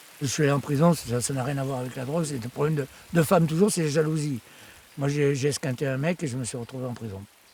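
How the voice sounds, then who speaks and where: A fairly high-pitched man at a very fast pace, with ordinary pitch variation and noticeable background noise. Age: 60s. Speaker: writer living in the forest. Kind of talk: documentary interview testimony. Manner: halting, repeats words.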